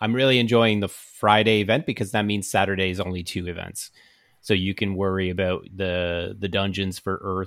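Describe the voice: The speaker simply reads aloud. Intonation is fairly even throughout.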